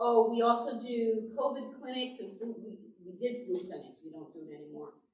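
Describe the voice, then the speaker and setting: This woman has an ordinary speaking voice. She speaks at a moderate pace with a fairly high pitch. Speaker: pastor. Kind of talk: church presentation to adult class.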